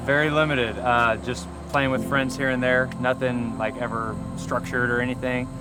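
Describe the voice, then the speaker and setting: Over noticeable background noise and audible room echo, a man with an American accent talks at a moderate pace with fairly even intonation. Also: medium pitch for a man. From US. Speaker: football quarterback. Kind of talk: casual interview.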